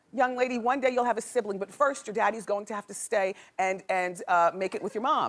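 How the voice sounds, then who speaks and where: Through noticeable background noise, a woman with a fairly high pitch speaks at a moderate pace. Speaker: talk show host. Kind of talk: talk show monologue, hot topics.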